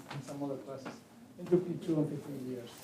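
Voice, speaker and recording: A man's voice, with ordinary pitch variation, carries audible room echo amid noticeable background noise. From Chile. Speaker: pharmacology professor. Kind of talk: lecture. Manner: halting, many fillers.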